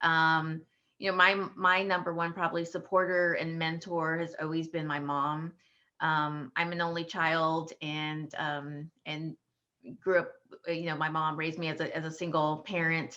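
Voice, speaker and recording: A woman with an American accent and a bright, sharp tone speaks at a moderate pace with a fairly low pitch and monotone, flat intonation. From South Texas. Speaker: lawyer. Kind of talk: panel discussion.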